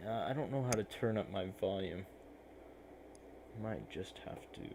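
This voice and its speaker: At a moderate pace, a man mumbles in a fairly low voice with ordinary pitch variation. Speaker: digital artist streamer. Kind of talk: live stream art tutorial commentary. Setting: live stream. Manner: mumbling.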